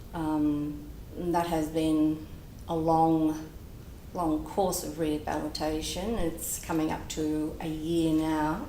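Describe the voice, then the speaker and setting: Very slow, flat, monotone speech from a woman with a very deep, low pitch and audible room echo. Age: 60s. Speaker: patient. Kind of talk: testimony.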